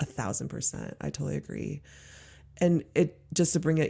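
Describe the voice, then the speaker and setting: A woman with an American accent and a dark, mellow tone, in a very clean recording with a silent background. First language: Mandarin. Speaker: podcast host, journey work guide. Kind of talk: casual conversational interview.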